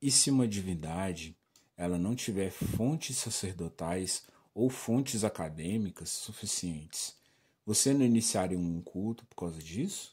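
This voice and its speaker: A man with a dark, mellow tone and lively intonation, speaking at a fairly slow pace on a very clean recording with a silent background. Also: fairly low pitch for a man. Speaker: kemetism practitioner and spirituality youtuber. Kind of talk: casual talk to camera.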